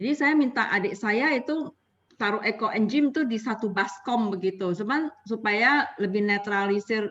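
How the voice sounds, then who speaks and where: A woman with an Indonesian accent speaks at a fairly quick pace. Her pitch is fairly high, with ordinary variation. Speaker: participant asking questions. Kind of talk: online Q&A session.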